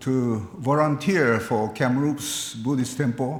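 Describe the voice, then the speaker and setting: A man with a Japanese accent talks at a very slow pace with lively intonation, and audible room echo surrounds his voice. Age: 80s+. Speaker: Buddhist minister. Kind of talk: eulogy at memorial service. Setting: memorial service, live-streamed. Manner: formal.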